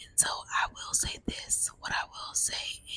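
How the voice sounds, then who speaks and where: The pace here is very slow. It is a woman, whispering. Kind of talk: ASMR whispered ramble. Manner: whispered.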